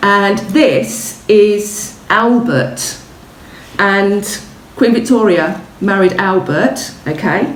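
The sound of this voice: A woman at medium pitch, very slow pace, with audible room echo. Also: ordinary pitch variation.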